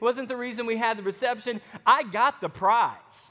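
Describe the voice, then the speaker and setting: In an American accent, a man projects a raised voice at an extremely high pitch, with a bright, sharp tone. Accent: Southern US (Arkansas), somewhat toned down. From Arkansas, US South. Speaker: pastor. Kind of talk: sermon.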